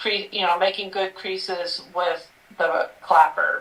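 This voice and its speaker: Noticeable background noise sits behind the recording. The speaker is a woman with a medium-pitched voice. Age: 50s. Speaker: sewing store owner. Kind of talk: casual interview chat. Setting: live stream.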